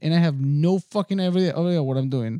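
A man's high-pitched voice with a non-native accent, a dark, mellow tone and ordinary pitch variation, in a very clean recording with a silent background and a dry, close sound with no echo. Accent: foreign-accented English. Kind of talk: casual chat.

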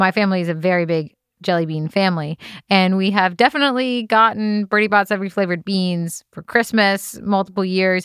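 On a very clean recording with a silent background, a woman speaks at a medium pitch. She has a normal speaking voice and ordinary pitch variation. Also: dry, close sound with no echo. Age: 20s. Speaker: podcast host's wife. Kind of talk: casual chat. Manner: laughing often.

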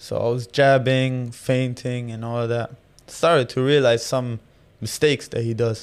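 With an Arabic accent, a man speaks at a moderate pace and a medium pitch. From Jordan. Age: 20s. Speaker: professional boxer. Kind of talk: casual interview.

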